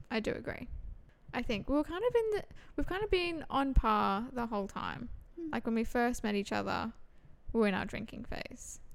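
Lively in intonation, a woman speaks at a high pitch and a moderate pace. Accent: Australian. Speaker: podcast co-host. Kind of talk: casual chat.

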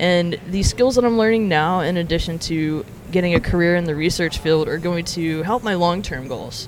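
Someone with an American accent talks with hardly any pauses over noticeable background noise. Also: moderate pace. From Alabama, US South. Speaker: former psychology researcher, barista. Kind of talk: interview.

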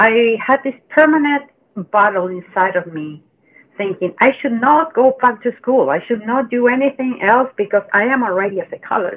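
Speaking with a Chilean accent, a woman uses a fairly high pitch. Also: lively intonation, moderate pace. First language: Spanish. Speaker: mental health coach. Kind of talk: casual interview.

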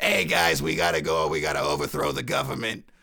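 A man in a put-on character voice with a New York accent talks at a very fast pace, his raspy voice pitched very deep and low. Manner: gangster-like, urgent.

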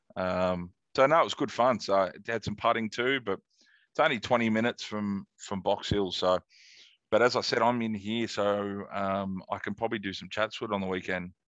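Speaking with an Australian accent, a man uses a fairly low pitch and ordinary pitch variation at a moderate pace, recorded dry and close with no echo over a quiet background. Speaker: golf podcast host. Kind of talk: casual chat.

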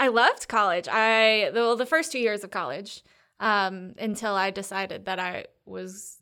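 Recorded very cleanly against a silent background, a woman with an American accent speaks at medium pitch in a bright, sharp tone. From North Carolina, Triangle area. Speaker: comedian, baker and tutor. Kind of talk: casual chat.

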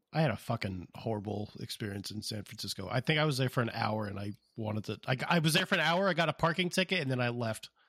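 A man with an American accent talks at a very fast pace with hardly any pauses, his medium pitch making very wide swings in a bright, sharp tone. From US West, Las Vegas and Southern California. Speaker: podcast co-host, young father. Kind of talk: casual chat.

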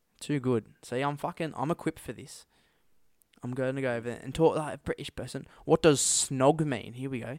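Speaking with an Australian accent, a man talks at a fairly quick pace and medium pitch, his intonation fairly even, in a dry, close recording with no echo that is very clean against a silent background. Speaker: podcast co-host. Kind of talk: casual chat.

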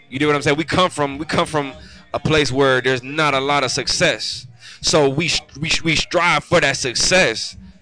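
Over noticeable background noise, a man with an American accent talks in a fairly high pitch. His intonation is fairly even and his pace moderate. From Cleveland, Ohio. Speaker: rapper. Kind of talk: casual interview. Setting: studio grand opening.

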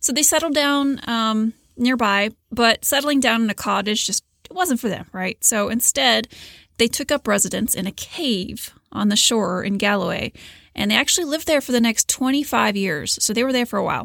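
A woman speaks in a normal speaking voice, fairly high in pitch. Her intonation is lively and her pace moderate. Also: dry, close sound with no echo. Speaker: podcast host. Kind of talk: scripted narration.

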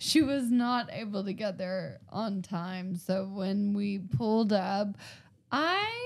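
Very slow speech from a woman at medium pitch with ordinary pitch variation. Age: 20s. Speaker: stand-up comedian. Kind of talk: casual chat.

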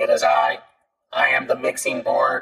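A put-on character voice with a robotic sound moves at a moderate pace. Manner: deadpan, mechanical.

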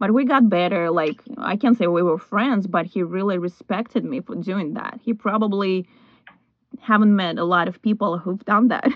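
At a moderate pace, a woman speaks in a normal speaking voice with a medium pitch and ordinary pitch variation. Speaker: podcast host. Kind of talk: interview chat.

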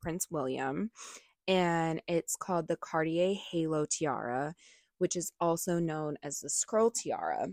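A woman with a plain, everyday voice speaks at a fairly slow pace in a fairly low pitch with fairly even intonation, recorded very cleanly against a silent background in a dry, close sound with no echo. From United States. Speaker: podcast co-host. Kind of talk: reading aloud; casual chat.

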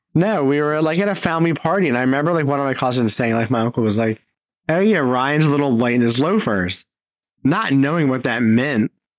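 Here a man uses a normal speaking voice, fairly high in pitch, moving at a fairly quick pace with lively intonation and very even loudness. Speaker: podcast host. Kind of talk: casual chat. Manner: casual, joking, profane.

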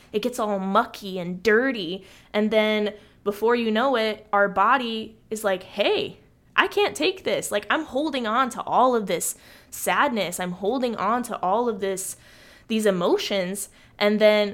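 A woman speaks in a normal speaking voice, fairly high in pitch, at a fairly slow pace with ordinary pitch variation. The recording is very clean, with a silent background. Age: 20s. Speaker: podcast host. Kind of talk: solo monologue podcast.

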